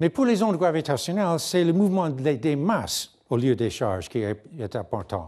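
A man's dark, mellow, fairly high voice with very wide pitch swings at a moderate pace, over a quiet background. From Canada, near Niagara Falls; Canada. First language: English (speaking French). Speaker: physicist; conference lecturer. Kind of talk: lecture. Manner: halting, frequent hesitations. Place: hall.

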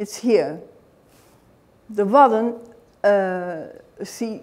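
A woman talks with a Dutch accent. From Netherlands. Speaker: author and knitting historian. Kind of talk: lecture.

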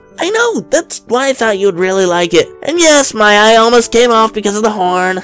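A put-on character voice with a fairly high pitch moves at a moderate pace over faint music in the background. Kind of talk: webtoon fandub dialogue.

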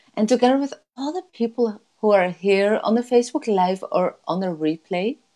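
Speaking in a Dutch accent, a woman has a fairly high pitch and a dark, mellow tone. The background is quiet. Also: lively intonation. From Netherlands. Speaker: life coach. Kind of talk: guided meditation. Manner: slow, soothing. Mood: warm, soothing, upbeat. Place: home room. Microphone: earbuds.

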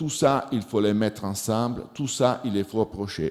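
Against a quiet background, a man with a dark, mellow tone speaks at a moderate pace in a fairly low pitch with ordinary pitch variation. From Switzerland, Italian-speaking Ticino. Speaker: agricultural researcher; conference presenter. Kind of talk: conference talk. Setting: conference hall with audience. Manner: halting, non-native phrasing. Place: hall. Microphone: podium.

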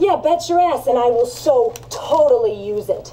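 High-pitched and female-sounding, a put-on character voice delivered at a moderate pace. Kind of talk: acted film dialogue. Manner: impatient, pushy, sarcastic.

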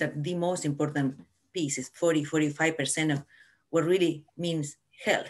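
Speaking with an Argentine accent, a woman uses a fairly low pitch. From Argentina. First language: Spanish. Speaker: family physician; panelist. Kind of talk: panel discussion. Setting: video call. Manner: animated. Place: home room. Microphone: video call.

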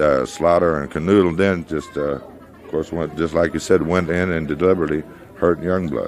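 A man with a very deep, low pitch speaks at a moderate pace, with ordinary pitch variation. He leaves long, frequent pauses over noticeable background noise. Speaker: pro wrestler in interview. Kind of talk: wrestling promo, archive interview clip.

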